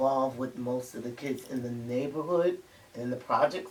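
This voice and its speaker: With a New York accent, a woman speaks at a very deep, low pitch over noticeable background noise. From Harlem, New York City. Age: 70s. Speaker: grandparent interviewee. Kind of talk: interview.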